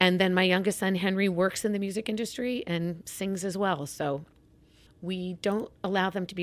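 With an American accent, the speaker keeps a moderate pace in a very clean recording with a silent background. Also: woman. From Kansas (Wichita). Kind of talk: interview.

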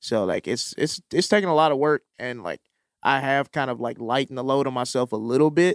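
With ordinary pitch variation and a fairly quick pace, a plain, everyday voice is heard on a very clean recording with a silent background. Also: man, medium pitch for a man. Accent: American. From Mississippi, US South. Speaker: comedian and TV writer. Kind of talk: casual chat.

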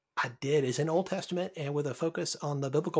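A man with an American accent, fairly high-pitched and somewhat breathy, with lively intonation at a fairly quick pace in a very clean recording with a silent background. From US South, Birmingham, Alabama. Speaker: pastor. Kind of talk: casual chat.

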